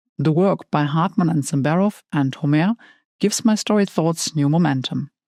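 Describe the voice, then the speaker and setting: With a German accent, a woman speaks at a moderate pace and a fairly low pitch in a dark, mellow tone, with ordinary pitch variation and very even loudness, on a very clean, dry, close recording with no echo and a silent background. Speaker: tarot content creator. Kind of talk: scripted narration.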